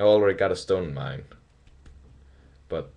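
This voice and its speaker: A man speaks with a Danish accent. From Denmark. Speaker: hobbyist video maker. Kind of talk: tutorial. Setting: webcam recording. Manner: halting, many fillers.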